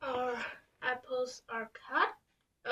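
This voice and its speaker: A woman with a non-native accent speaks in a bright, sharp tone. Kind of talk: casual talk to camera.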